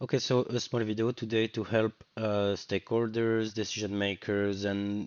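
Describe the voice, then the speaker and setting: The speech has a French accent and a monotone, flat intonation. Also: man. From France. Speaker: web developer. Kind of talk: screen-recorded coding tutorial. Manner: casual, hesitant.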